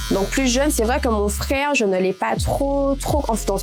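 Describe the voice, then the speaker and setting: A woman talks at a moderate pace with music in the background. Audible room echo fills the recording. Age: 20s. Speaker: nurse and photo model, interview guest. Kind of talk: personal life story interview. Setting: barber chair during haircut. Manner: hesitant, many fillers.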